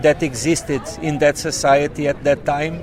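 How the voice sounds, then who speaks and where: A man with a Portuguese accent talks at a fairly slow pace, his pitch fairly high and his intonation fairly even. Noticeable background noise sits behind him. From southern Portugal, rural. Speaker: author and poet. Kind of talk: interview. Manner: halting, many fillers.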